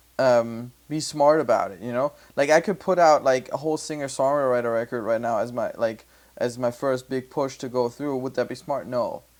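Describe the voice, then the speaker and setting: Speaking with a German accent, a man uses a medium pitch, a moderate pace and fairly even intonation. The recording is very clean, with a silent background. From Germany. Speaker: music producer and podcast host. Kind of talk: casual chat. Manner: halting.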